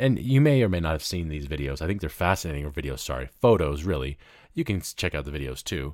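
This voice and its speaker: Speaking at a very fast pace, a man with an American accent has a very deep, low pitch and vocal fry. His intonation is lively. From US South, Memphis, Tennessee. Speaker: podcast host and radio host. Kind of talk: solo news commentary. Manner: casual, conversational with laughs.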